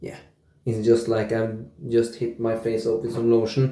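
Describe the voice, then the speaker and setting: Over audible room echo, a man at medium pitch speaks at a fairly slow pace in a dark, mellow, relaxed tone that is somewhat breathy. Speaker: wet shaving YouTuber. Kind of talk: casual product review vlog. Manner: quiet, relaxed.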